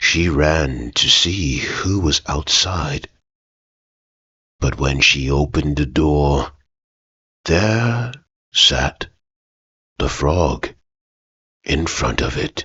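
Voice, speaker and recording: A man's soft-spoken, put-on character voice, very deep and low, at a very slow pace with long, frequent pauses. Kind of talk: ASMR bedtime story. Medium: read story. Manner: soft-spoken, slow, soothing.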